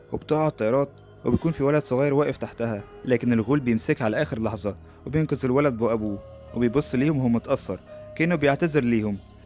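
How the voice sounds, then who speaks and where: With music in the background, a man talks at a fairly quick pace, his loudness very even and his pitch variation ordinary. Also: medium pitch for a man. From Egypt. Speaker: YouTube narrator, horror program announcer. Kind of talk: film plot summary narration.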